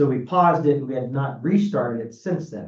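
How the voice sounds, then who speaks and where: A man speaks with a medium pitch and lively intonation. His tone is dark and mellow and somewhat breathy. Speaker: mayor chairing council meeting. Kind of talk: council meeting chairing and discussion. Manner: halting with fillers and repetitions.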